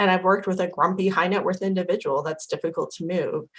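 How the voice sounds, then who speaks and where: Here a woman speaks at a medium pitch. She has an American accent. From Idaho. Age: 40s. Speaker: impact investing educator. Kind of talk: interview.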